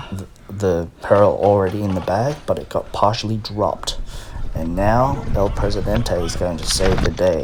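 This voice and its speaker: The speech comes at a moderate pace. Noticeable background noise runs underneath. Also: man. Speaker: gelball player and reviewer. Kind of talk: gameplay commentary narration.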